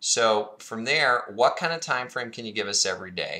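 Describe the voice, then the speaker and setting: A bright, sharp tone comes through. The background is silent in this very clean recording. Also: man. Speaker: fitness product presenter. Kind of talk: tutorial.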